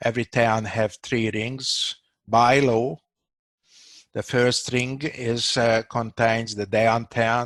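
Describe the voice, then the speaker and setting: This man speaks very slowly in a monotone, flat intonation at a medium pitch, with a dry, close sound and no echo. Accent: Hungarian. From Hungary, Budapest. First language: Hungarian. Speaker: doctor. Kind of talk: casual discussion. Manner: halting, many fillers.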